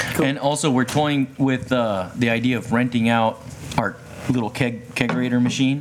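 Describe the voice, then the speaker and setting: Speaking at a moderate pace in a medium pitch, a man keeps very even loudness and fairly even intonation despite noticeable background noise. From Japan, then Hawaii. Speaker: kombucha maker. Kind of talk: casual chat. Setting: outdoors.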